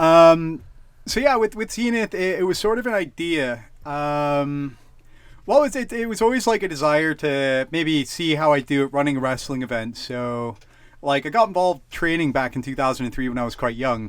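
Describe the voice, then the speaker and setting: A man at a fairly high pitch with a Canadian accent, very wide pitch swings, very clean recording with a silent background. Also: moderate pace. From Canada. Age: 30s. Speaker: wrestling promoter. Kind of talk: casual chat. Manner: halting, many fillers.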